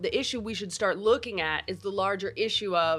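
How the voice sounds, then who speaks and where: A woman speaks in an ordinary speaking voice at a medium pitch, fairly quickly and with fairly even intonation, on a very clean recording with a silent background. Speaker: podcast host. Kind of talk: casual interview conversation.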